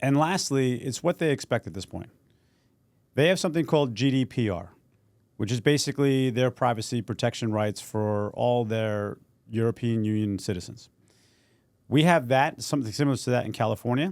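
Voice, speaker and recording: A man with an American accent talks at a fairly quick pace and a medium pitch. He has an unremarkable speaking voice with ordinary pitch variation. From New York City. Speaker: podcast co-host. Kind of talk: casual podcast chat.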